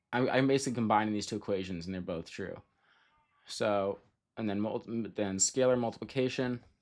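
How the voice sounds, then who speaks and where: A man speaks at a fairly quick pace with a fairly low pitch and ordinary pitch variation. He leaves long, frequent pauses. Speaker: streamer learning linear algebra with AI. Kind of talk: live stream, thinking aloud while solving problems. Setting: live stream. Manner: fast; halting, repeats words.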